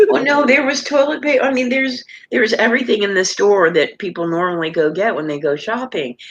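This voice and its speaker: Over noticeable background noise, a woman speaks at a very fast pace with a fairly high pitch and very wide pitch swings. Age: 60s. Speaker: live stream panelist. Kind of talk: casual chat.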